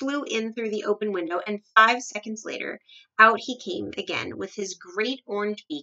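A natural reading voice with ordinary pitch variation is heard against a quiet background.

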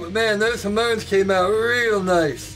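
A man talks with ordinary pitch variation while faint music sits in the background. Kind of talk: casual tutorial vlog. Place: workshop.

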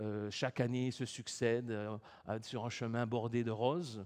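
This is a man speaking. The background is quiet. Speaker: preacher. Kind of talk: sermon. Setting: church. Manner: formal, earnest, measured preaching tone. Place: church.

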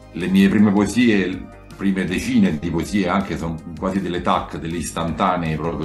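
A man at a fairly quick pace, with faint music in the background. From Rome, Italy. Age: 40s. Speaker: poet. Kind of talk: interview answer. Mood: calm, reflective. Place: home room.

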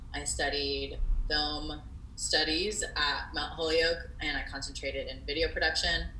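There is light background noise and audible room echo as a woman with an American accent talks at a fairly slow pace. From Miami, Florida. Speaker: filmmaker. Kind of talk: interview. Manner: hesitant, many fillers. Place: home room. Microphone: earbuds.

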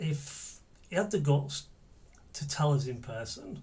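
A man is talking. His voice comes out somewhat breathy. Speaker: actor in monologue. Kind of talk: dramatic monologue. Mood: angry, bitter. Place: home room.

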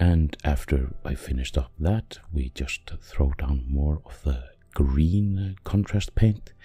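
Very deep and low, a man's dark, mellow, somewhat breathy voice moves at a very slow pace with lively intonation and a non-native accent. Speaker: miniature painter. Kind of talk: painting tutorial narration.

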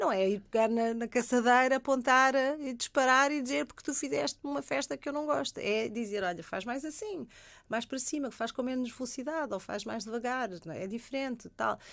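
A woman talks in a high pitch with lively intonation at a fairly quick pace. The recording is very clean, with a silent background. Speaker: sexologist. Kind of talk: radio interview. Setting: radio studio.

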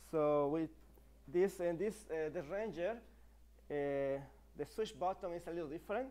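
The speech comes at a fairly slow pace with a dark, mellow tone, in a Spanish accent. Pitch variation is ordinary. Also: man. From Mexico. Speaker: e-bike company partner and presenter; presenter. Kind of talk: live stream product presentation. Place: studio.

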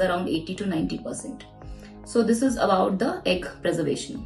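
A woman speaks at a fairly slow pace over faint music in the background. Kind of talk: explainer interview answer. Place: office.

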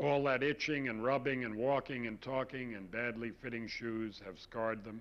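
Here a man has an ordinary speaking voice, with a medium pitch, fairly even intonation and a moderate pace. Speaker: poet. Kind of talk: poetry reading, performed poem. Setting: studio. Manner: measured, intimate, confessional.

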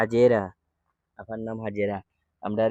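Recorded in a dry, close sound with no echo, a man speaks at a medium pitch with monotone, flat intonation. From Sylhet, Bangladesh. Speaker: charity appeal video maker. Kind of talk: charity appeal.

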